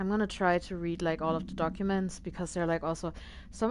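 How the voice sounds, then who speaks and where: A woman with a non-native accent speaks in a fairly low pitch with fairly even intonation. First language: not English. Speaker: video game streamer. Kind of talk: casual live-stream commentary. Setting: live stream. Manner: hesitant, many fillers.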